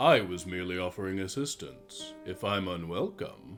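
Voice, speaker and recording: Over clear music in the background, a man performs a put-on character voice at a moderate pace. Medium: actual play. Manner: smooth, measured.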